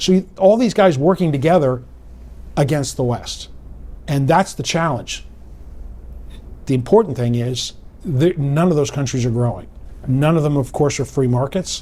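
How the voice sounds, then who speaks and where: Somewhat breathy and dark, mellow in tone, a man with a fairly high pitch and ordinary pitch variation talks at a moderate pace, leaving long, frequent pauses. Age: 60s. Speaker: political analyst. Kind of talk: interview.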